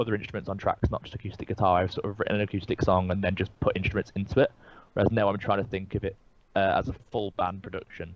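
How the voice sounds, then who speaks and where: With a slight Birmingham accent, a man talks at a very fast pace, his fairly low-pitched voice keeping a fairly even intonation. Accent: English, little Birmingham twang. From English Midlands, Birmingham area. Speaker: singer-songwriter. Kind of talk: casual interview. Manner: hesitant, many fillers and restarts.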